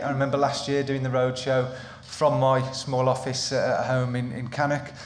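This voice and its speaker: A man with a Midlands accent speaks in a monotone, flat way at a medium pitch, with audible room echo and noticeable background noise. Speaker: employment lawyer. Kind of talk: seminar presentation. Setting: live seminar with in-person audience. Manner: hesitant with frequent ums and repetitions.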